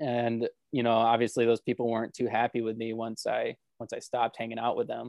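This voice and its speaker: The voice runs at a moderate pace in a flat monotone, with a dry, close sound and no echo. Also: man. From Florida. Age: 20s. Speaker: assembly line worker. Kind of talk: interview testimony.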